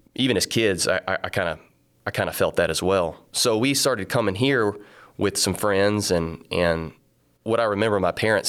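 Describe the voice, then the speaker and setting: On a very clean recording with a silent background, a man with an American accent talks at a moderate pace with ordinary pitch variation. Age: 30s. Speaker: coffee shop owner. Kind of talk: casual interview. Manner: halting, repeats words.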